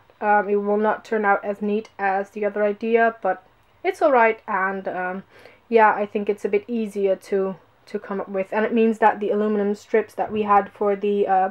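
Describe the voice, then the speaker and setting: At a moderate pace, a woman with a non-native accent and medium pitch speaks in a monotone, flat intonation. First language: not English. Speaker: vlogger. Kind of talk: casual vlog walkthrough. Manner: hesitant, many fillers.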